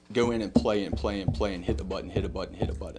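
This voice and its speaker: Against music in the background, a man with a Southern US accent and a fairly low pitch speaks at a fairly quick pace. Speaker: business owner speaking at town council. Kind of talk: public comment at council meeting. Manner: halting.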